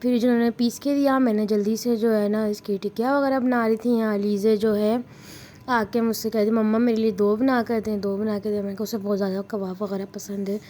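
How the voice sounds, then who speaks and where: Fairly high-pitched woman's voice, monotone and flat in intonation, at a moderate pace. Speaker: family vlogger. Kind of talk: vlog voice-over narration.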